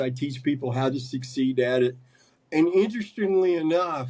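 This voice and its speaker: With an American accent, a man talks at a fairly quick pace in a normal speaking voice, using ordinary pitch variation. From US South, West Virginia (Huntington). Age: 60s. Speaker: carnivore diet coach and medium. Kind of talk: podcast interview.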